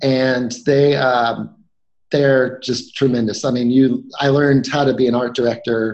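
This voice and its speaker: A man with an American accent at a medium pitch, fairly slow and monotone, his loudness very even throughout. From North Carolina. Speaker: animator. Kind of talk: casual interview. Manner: halting.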